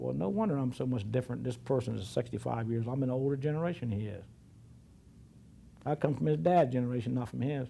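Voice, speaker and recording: A man talks at a very fast pace with an American accent. His medium-pitched voice has a dark, mellow tone and is somewhat breathy. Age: 60s. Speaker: oral history interviewee. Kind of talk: oral history interview. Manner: halting.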